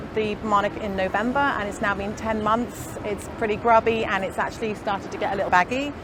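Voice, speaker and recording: Pitched fairly high, a woman talks at a fairly quick pace with fairly even intonation. Noticeable background noise and audible room echo fill the recording. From northern England, Liverpool. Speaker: fibre artist. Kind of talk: casual chat. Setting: outdoors.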